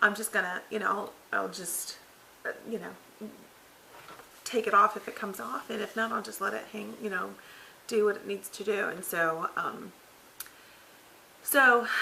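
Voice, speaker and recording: A woman's mid-pitched voice, with normal pitch movement, comes through over noticeable background noise. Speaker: vlogger. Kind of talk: casual vlog update. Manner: halting, many fillers.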